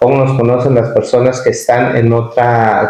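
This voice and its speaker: This man has a medium-pitched voice. He talks at a fairly slow pace. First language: Nuntajɨɨyi (Popoluca) (speaking Spanish). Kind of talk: interview.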